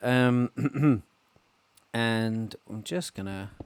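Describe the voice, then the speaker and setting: A man with an English accent speaks with ordinary pitch variation in a dry, close sound with no echo. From England. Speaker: Minecraft let's player. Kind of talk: casual gameplay commentary.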